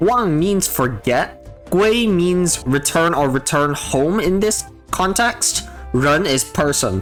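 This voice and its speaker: Speech comes at a very slow pace with music playing in the background. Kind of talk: game character guide narration.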